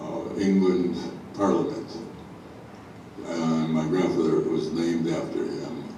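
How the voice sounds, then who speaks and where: A man with an American accent speaks at a very slow pace in a very deep, low voice. Noticeable background noise and audible room echo surround him. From US Midwest, Chicago. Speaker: local history speaker. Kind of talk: illustrated talk to an audience. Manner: halting, many fillers.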